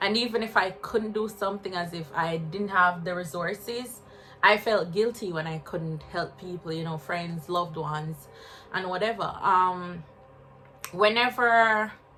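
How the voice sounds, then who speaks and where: At a fairly slow pace, a woman with a Jamaican accent speaks at a medium pitch with ordinary pitch variation. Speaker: spiritual wellness vlogger. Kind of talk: personal vlog testimony. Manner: casual, halting.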